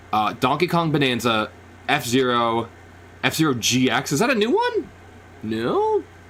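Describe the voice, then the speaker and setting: A man speaks with a fairly high pitch and lively intonation at a fairly slow pace. His loudness stays very even, broken by long, frequent pauses. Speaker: gaming streamer. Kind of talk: live reaction stream. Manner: animated; loud, yelling at times.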